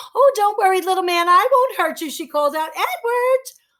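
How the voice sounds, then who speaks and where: A woman does a loud, squeaky put-on character voice at an extremely high pitch. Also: fairly quick pace. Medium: read story. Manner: excitable, loud.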